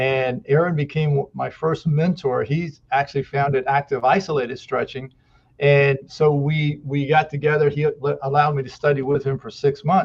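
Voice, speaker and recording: This man talks at a moderate pace with a fairly high pitch and a somewhat breathy quality. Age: 60s. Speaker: muscle therapist. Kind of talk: podcast interview. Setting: podcast interview.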